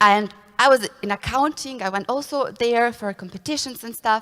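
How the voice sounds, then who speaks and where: A woman with a non-native accent at a fairly quick pace. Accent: foreign. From Bosnia and Herzegovina, Srebrenik area. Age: 20s. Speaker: consultant. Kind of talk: conference talk.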